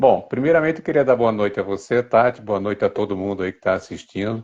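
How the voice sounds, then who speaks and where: Over a quiet background, a man with a plain, everyday voice talks fairly quickly at a fairly low pitch with ordinary pitch variation. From Brazil, Niterói (Rio de Janeiro), born in Recife. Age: 60s. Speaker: writer and advertising copywriter, cancer survivor. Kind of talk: interview.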